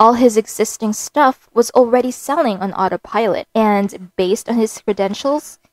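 The passage is read aloud. The voice is natural.

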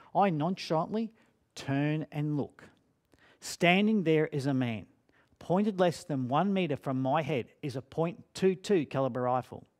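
Against a quiet background, a man talks at a fairly slow pace with lively intonation. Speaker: speaker. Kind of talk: dramatic storytelling talk. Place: studio.

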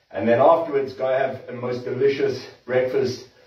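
Amid audible room echo, a man speaks with ordinary pitch variation. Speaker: trainer. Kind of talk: workout tutorial to live stream viewers. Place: gym. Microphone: camera far.

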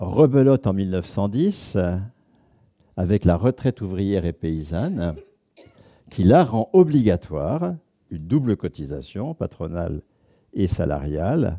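A man's very slow, fairly low-pitched voice with a dark, mellow tone and very wide pitch swings, over a quiet background. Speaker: sociologist; lecturer. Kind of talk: lecture. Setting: stage with audience. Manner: animated. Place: hall. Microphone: headset.

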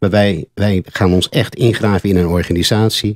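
With an unremarkable speaking voice, a man talks at a moderate pace in a fairly low pitch and fairly even intonation, the sound dry with no echo against a quiet background. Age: 60s. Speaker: former sales director, business consultant; former sales director. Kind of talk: radio interview. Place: studio. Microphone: studio mic.

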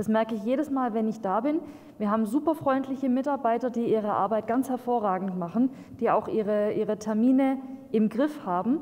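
A woman with a plain, everyday voice speaks at a fairly quick pace, her fairly high pitch showing ordinary variation and her loudness very even. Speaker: local councillor. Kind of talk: council speech. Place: meeting room. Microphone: podium.

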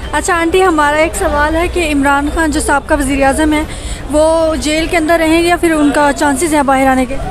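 With crowd noise in the background, a woman speaks at a high pitch in a monotone, flat intonation, her loudness very even and the sound dry with no echo. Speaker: street interview host. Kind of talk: street interview questions. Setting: outdoors. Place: market. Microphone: handheld.

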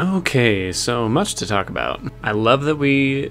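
A man talks while faint music lingers in the background. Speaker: reaction video host. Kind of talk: review commentary. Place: home room. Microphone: studio mic.

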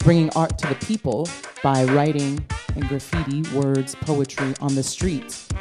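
A woman in a New York accent speaks fairly slowly, her pitch very deep and low. Music sits in the background. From Brooklyn, New York. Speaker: spoken word poet. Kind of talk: poetry performance.

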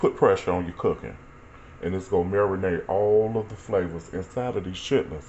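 A man's fairly low voice at a fairly quick pace, with ordinary pitch variation and light background noise. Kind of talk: casual cooking tutorial. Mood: relaxed, amused. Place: kitchen. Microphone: phone near.

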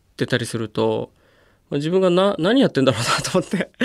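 A man's voice, high in pitch. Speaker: wheelchair rugby player. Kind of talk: interview. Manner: casual, with frequent fillers.

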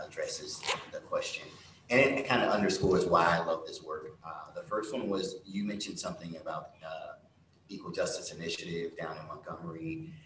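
With an American accent, a man talks at a moderate pace amid light background noise and audible room echo. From Central Florida. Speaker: foundation executive; panelist. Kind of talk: panel discussion. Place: stage.

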